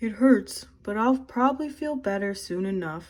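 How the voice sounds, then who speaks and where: A woman puts on a character voice. It sits fairly high and moves at a moderate pace. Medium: read story.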